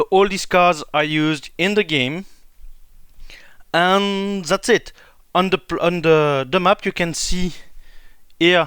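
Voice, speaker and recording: Over a silent background in a very clean recording, a man with a French accent speaks very slowly in a bright, sharp tone. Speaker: board game YouTuber. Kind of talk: tutorial. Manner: halting.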